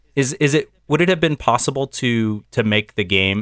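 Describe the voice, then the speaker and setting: In an unremarkable speaking voice with an American accent, the speaker keeps a moderate pace and ordinary pitch variation, recorded dry and close with no echo on a very clean, silent background. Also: man. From US. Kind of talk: casual chat.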